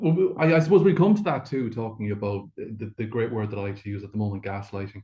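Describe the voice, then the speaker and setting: With an Irish accent, a medium-pitched man talks at a very fast pace with hardly any pauses. His voice is somewhat breathy, with lively intonation. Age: 60s. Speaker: Traveller advocacy coordinator. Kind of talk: webinar presentation. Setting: video call from a hotel.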